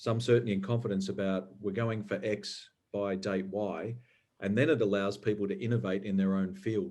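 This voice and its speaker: Speaking with an Australian accent, a man keeps a moderate pace. His fairly low voice has fairly even intonation. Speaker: environmental regulator. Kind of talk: panel discussion.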